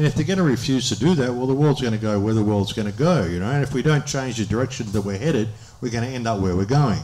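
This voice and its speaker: Speaking very fast in an Australian accent, a man with a medium pitch and a dark, mellow tone shows ordinary pitch variation, and the room echo is audible. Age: 60s. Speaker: speaker on a public talk tour. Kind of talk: audience Q&A.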